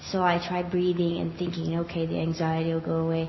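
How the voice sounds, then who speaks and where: Woman's voice with noticeable background noise. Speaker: class participant. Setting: live class, speaking into a mic.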